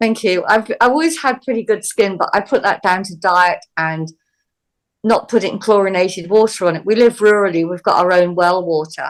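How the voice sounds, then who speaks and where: In a normal speaking voice, a woman talks at medium pitch with ordinary pitch variation. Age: 60s. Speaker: healer. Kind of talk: interview.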